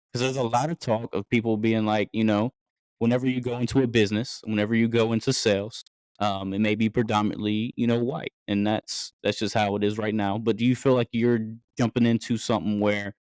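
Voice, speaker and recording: This voice speaks with a Southern accent in a monotone with flat intonation. The recording is very clean with a silent background, and the sound is dry and close with no echo. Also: man, medium pitch for a man, fairly quick pace. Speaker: podcast host. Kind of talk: casual interview.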